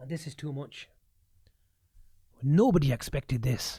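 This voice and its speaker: A woman's very deep, low voice sounds somewhat breathy and dark and mellow, with ordinary pitch variation. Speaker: football fan pundit. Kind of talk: rant. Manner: animated.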